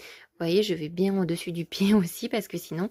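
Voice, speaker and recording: A woman with an unremarkable speaking voice talks at a moderate pace and a fairly low pitch with fairly even intonation, recorded very cleanly against a silent background, the sound dry and close with no echo. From South of France. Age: 20s. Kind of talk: casual vlog talk to camera.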